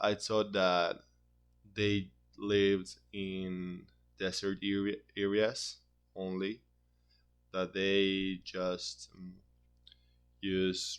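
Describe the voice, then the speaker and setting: A man with a Spanish accent, fairly low pitch and fairly even intonation, at a very slow pace with long, frequent pauses, against a quiet background. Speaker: university student. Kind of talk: class presentation. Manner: halting, with frequent repetitions.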